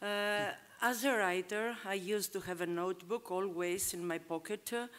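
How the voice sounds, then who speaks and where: A woman speaks with a non-native accent at a fairly slow pace. Her intonation stays fairly even. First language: not English. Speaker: writer. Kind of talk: panel discussion. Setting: stage with audience. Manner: halting.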